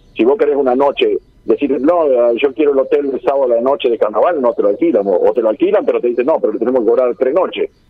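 A man talks at a very fast pace with very even loudness. Noticeable background noise is present. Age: 60s. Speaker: carnival organizer. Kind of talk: radio interview.

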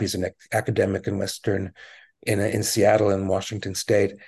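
A somewhat breathy voice belongs to a man. He talks at a fairly quick pace. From Quebec, Montreal. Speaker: journalist. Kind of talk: interview. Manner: halting, many fillers.

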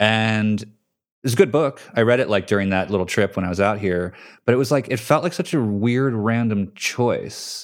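In a very clean recording with a silent background, a man with an American accent and a plain, everyday voice speaks at a moderate pace, fairly low in pitch, with ordinary pitch variation. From New Jersey. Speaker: podcast host and magazine editor. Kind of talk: casual interview conversation.

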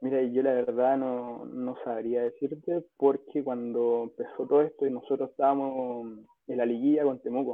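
In a Chilean accent, a man of medium pitch speaks at a moderate pace. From Chile, Rancagua. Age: 20s. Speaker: professional footballer. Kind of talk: casual interview.

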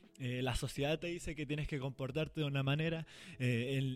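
In a very clean recording with a silent background, a man talks at a very fast pace with fairly high pitch. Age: 20s. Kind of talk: casual devotional talk. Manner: animated.

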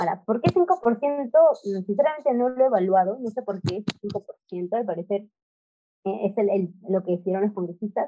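An unremarkable speaking voice from a woman, medium in pitch, moderate in pace and lively in intonation. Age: 20s. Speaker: political commentator and social media creator. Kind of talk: podcast interview.

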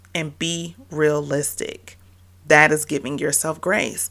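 In a very clean recording with a silent background, a woman speaks very slowly in a very deep, low pitch with vocal fry. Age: 30s. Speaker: podcast host and motherhood coach. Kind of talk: motivational solo podcast.

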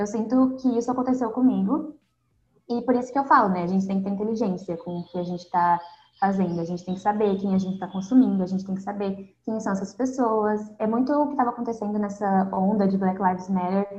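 At a very fast pace, a woman speaks at a medium pitch with ordinary pitch variation and a somewhat breathy sound. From southern Brazil. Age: 20s. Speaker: university student and Instagram content creator. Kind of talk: casual interview chat. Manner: calm.

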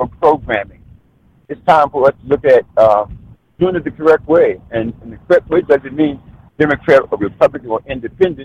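A man with an American accent and a fairly high pitch speaks at a fairly quick pace in an unremarkable speaking voice. The sound is dry and close with no echo. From Maryland. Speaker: political candidate, retired Marine. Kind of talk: interview.

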